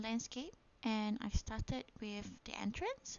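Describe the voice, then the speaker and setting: A woman with a fairly high voice talks at a very slow pace. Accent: Malaysian. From Malaysia. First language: Malay. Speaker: gaming YouTuber. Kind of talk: casual gameplay narration. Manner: hesitant, many fillers.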